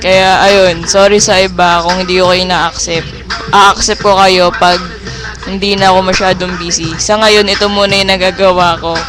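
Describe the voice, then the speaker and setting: High pitch for a man, monotone and flat in intonation, at a moderate pace with music in the background. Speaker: online roleplay community member giving shout-outs. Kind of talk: casual vlog greetings.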